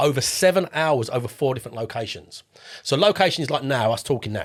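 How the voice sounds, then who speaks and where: A man with an Estuary English accent at a very fast pace, fairly high in pitch, with lively intonation. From southeast England, Essex near London. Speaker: property investor. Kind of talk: podcast interview. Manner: casual, repeats words.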